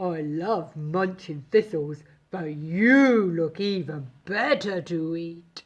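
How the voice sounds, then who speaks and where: A put-on character voice at a middle pitch. The pace is very slow. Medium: read story. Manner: bleating.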